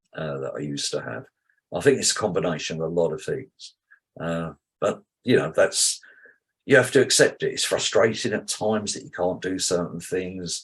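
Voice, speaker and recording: His pace runs fairly quick. The speaker is a man with a British accent. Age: 70s. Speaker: cardiac arrest survivor. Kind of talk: testimony.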